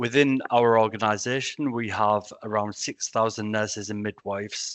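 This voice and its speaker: A man with a Yorkshire accent, fairly low-pitched, at a moderate pace with monotone, flat intonation. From Yorkshire, northern England. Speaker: senior nurse. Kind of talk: online presentation.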